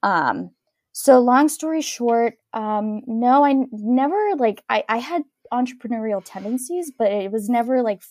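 In a dry, close recording with no echo, a woman speaks at a fairly high pitch with lively intonation. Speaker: dancewear startup founder. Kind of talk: interview. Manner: soothing.

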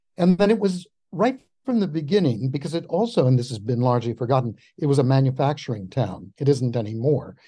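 A somewhat breathy man's voice, medium in pitch, fairly quick, with lively intonation, on a very clean recording with a silent background. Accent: American. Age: 70s. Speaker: historian. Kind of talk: interview.

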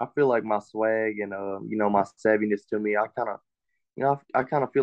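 A man speaks with an East Texas accent at a fairly quick pace. His voice is fairly low, with fairly even intonation. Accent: East Texas Southern US. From East Texas (Longview, Henderson). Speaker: college football player. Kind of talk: interview.

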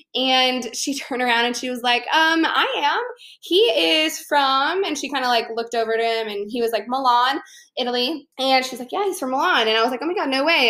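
A woman's raised, projected voice at a high pitch with a bright, sharp tone, an American accent, a fairly quick pace and ordinary pitch variation, in a very clean recording with a silent background. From Chicago, US Midwest. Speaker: podcast host and fitness entrepreneur. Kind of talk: casual solo podcast monologue. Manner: animated.

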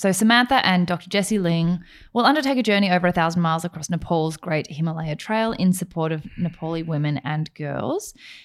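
On a very clean recording with a silent background, a woman with a normal speaking voice talks at a fairly quick pace. She has ordinary pitch variation and hardly any pauses. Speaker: podcast co-host, lawyer. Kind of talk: casual chat.

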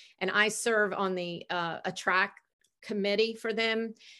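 On a very clean recording with a silent background, a woman speaks fairly slowly in a bright, sharp tone and a flat monotone. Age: 50s. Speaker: hospitality executive and speaker. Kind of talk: interview.

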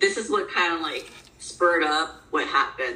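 A woman's voice with audible room echo. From moved around as military child; mostly Ocala, Florida. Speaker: personal trainer and bodybuilder, assault survivor. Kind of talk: interview.

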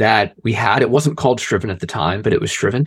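Speaking with an American accent, a man has a plain, everyday voice with ordinary pitch variation. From Philadelphia area, US. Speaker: sales and marketing director, former teacher. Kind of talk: casual interview. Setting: video call.

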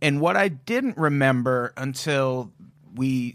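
Very slowly and at a medium pitch, a man speaks on a very clean recording with a silent background. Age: 40s. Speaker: podcast host. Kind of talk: casual chat.

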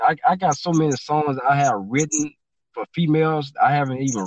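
Here a man speaks with a Louisiana accent. His pace is moderate and his pitch varies in an ordinary way. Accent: Southern US, Louisiana. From Baton Rouge, Louisiana. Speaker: rapper and music producer. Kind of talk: casual chat. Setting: studio.

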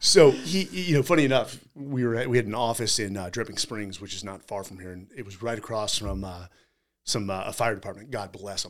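An American man with an ordinary speaking voice talks at a fairly quick pace with lively intonation and big swings in loudness. The recording is very clean, with a silent background. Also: medium pitch for a man. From California. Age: 40s. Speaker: podcast host, military veteran. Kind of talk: casual chat.

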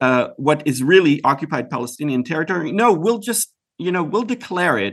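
Over a quiet background, a man's high-pitched voice makes very wide pitch swings. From Israel. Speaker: writer and commentator. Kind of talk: interview. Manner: halting, many repetitions.

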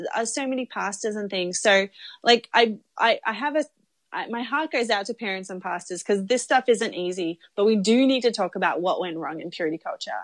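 With an Australian accent, a woman speaks at a moderate pace with lively intonation and a fairly high pitch. The recording is very clean, with a silent background and a dry, close sound with no echo. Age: 30s. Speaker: documentary filmmaker. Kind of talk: casual interview.

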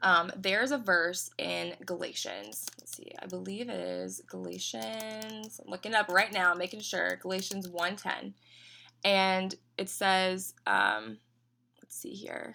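This woman talks at a fairly slow pace, her loudness swinging widely. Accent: American. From Tennessee, US South. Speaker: business owner. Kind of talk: casual interview chat.

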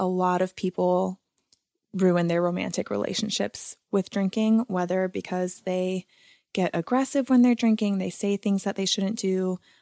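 In an unremarkable speaking voice, a woman of medium pitch talks fairly slowly with fairly even intonation, the sound dry and close with no echo on a very clean recording with a silent background. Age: 20s. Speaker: sober lifestyle advocate. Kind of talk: casual interview.

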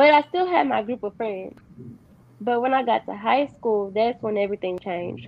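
A fairly high-pitched woman in a Texas accent, at a fairly quick pace. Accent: Southern US (Texas). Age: 20s. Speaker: guest sharing life story. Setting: video call. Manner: soft-spoken.

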